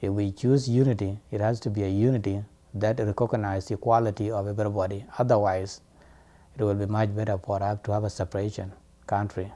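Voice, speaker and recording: A man talks fairly quickly with a non-native accent and monotone, flat intonation. His voice has a fairly low pitch and a dark, mellow tone. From South Sudan. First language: not English. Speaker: student and diaspora activist. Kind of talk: interview testimony.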